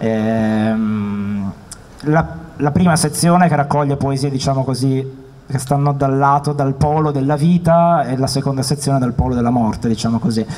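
A man talks in an ordinary speaking voice at a moderate pace with a fairly high pitch. His pitch varies in an ordinary way, and his loudness stays very even. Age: 30s. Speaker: poet; guest. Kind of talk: interview. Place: hall. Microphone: handheld.

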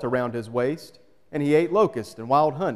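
Ordinary pitch variation and a moderate pace from a man, over a quiet background. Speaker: pastor. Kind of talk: scripture reading. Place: church.

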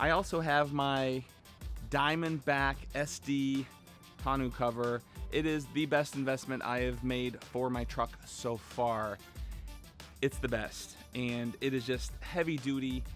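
With faint music in the background, a man speaks at a very slow pace with fairly even intonation, the sound dry with no echo. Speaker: car channel host. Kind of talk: casual vlog chat. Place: street. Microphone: phone near.

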